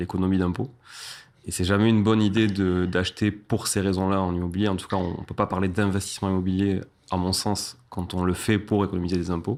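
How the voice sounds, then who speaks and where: In a very clean recording with a silent background, a man speaks at a fairly quick pace in a very deep, low pitch with monotone, flat intonation. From southern France, Toulouse. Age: 30s. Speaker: real estate investor and entrepreneur. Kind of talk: interview podcast conversation.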